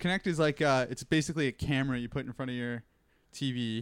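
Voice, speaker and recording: Delivered at a fairly quick pace, an ordinary speaking voice comes through on a very clean recording with a silent background. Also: man. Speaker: podcast host. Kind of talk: casual chat. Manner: casual, joking.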